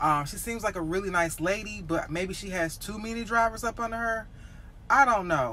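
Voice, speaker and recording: With lively intonation, a woman speaks at a fairly quick pace over light background noise. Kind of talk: casual vlog chat. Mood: frustrated venting. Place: car. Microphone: phone near.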